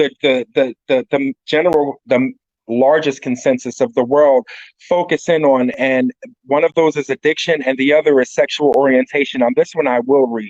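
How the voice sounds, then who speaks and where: Recorded dry and close with no echo, a man talks at a fairly slow pace in a fairly high pitch with ordinary pitch variation. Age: 40s. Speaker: recovering addict giving a talk. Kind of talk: presentation talk; reading aloud.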